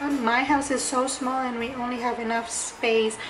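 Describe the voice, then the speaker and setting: A woman's monotone, flat delivery amid noticeable background noise and audible room echo. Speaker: lifestyle vlogger. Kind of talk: casual DIY vlog.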